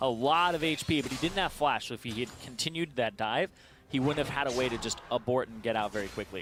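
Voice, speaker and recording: The delivery comes at a very fast pace with lively intonation. Music plays in the background. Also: man. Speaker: esports caster. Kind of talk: live commentary.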